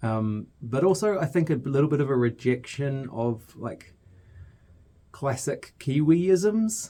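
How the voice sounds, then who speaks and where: Speaking at a very slow pace, a man has a fairly high pitch. His tone is dark and mellow, with lively intonation. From New Zealand (Hamilton). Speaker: podcast producer. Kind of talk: casual chat. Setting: studio. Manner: halting.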